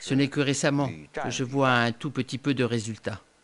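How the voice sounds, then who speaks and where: A man with a medium pitch and fairly even intonation talks at a fairly slow pace. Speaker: voice-over artist. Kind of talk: documentary voice-over dub. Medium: dub.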